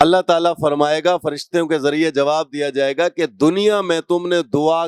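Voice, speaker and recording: A man talks in a plain, everyday voice, fairly high in pitch with ordinary pitch variation. The sound is dry and close, with no echo. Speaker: Islamic preacher, qari. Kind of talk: Islamic sermon (bayan) delivered to an audience.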